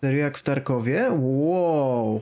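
A man talks against a quiet background. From Poland. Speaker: streamer. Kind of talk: casual chat. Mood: amused, excited. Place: home room. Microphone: studio mic.

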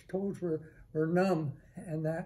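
This is a man with a high pitch. His tone is dark and mellow. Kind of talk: storytelling talk. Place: office.

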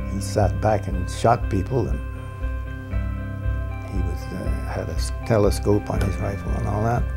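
Music plays in the background. A man speaks with very wide pitch swings. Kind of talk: interview answer. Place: home room. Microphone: lapel.

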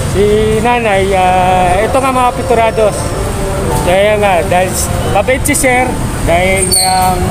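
Long, frequent pauses mark the fairly slow speech, with clear music in the background. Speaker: charity vlogger. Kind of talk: casual street interview host. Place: market. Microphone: phone near.

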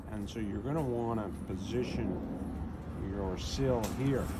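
A man talks at a fairly slow pace. Loud background noise runs behind him. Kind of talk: tutorial. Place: street. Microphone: phone near.

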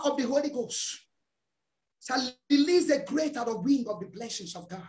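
A man is talking. His pace is moderate. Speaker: preacher. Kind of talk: fervent prayer and deliverance declarations; fervent prayer. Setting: church. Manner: loud, commanding, fiery. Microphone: video call.

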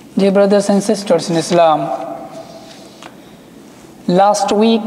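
The intonation stays fairly even. Room echo can be heard. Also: man. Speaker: imam. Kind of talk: sermon. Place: church.

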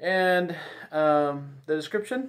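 A man talks at a slow pace with a fairly high pitch and lively intonation.

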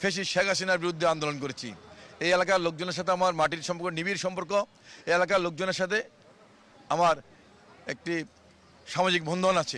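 Speaking with fairly even intonation, the man has a high pitch. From Bangladesh, Dhaka. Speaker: independent parliamentary candidate. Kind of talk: campaign speech to reporter.

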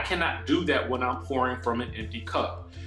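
A man's voice in audible room echo, with faint music in the background. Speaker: content creator. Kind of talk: casual vlog chat. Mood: candid, a bit stressed. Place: home room. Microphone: earbuds.

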